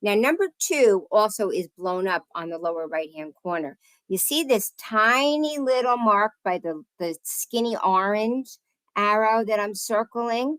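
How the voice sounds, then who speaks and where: A woman with a New Jersey accent talks at a fairly slow pace in a fairly high pitch with lively intonation, the sound dry and close with no echo, on a very clean recording with a silent background. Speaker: oil heat specialist and realtor. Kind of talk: presentation to home inspectors. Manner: casual, conversational.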